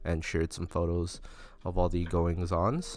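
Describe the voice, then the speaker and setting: A man with a very deep, low pitch speaks on a very clean recording with a silent background. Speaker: podcast host. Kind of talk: solo podcast talk. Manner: halting, many fillers.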